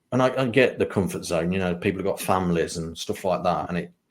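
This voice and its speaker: A man with an English accent and a very deep, low pitch, on a very clean recording with a silent background. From England, Lincolnshire (East Midlands). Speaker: spiritual mentor and psychic medium. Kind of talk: interview conversation.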